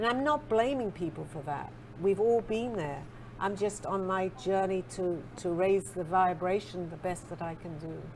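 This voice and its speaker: In an English accent, a woman with a fairly low pitch talks at a moderate pace. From England. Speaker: spiritual author and psychic. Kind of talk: interview.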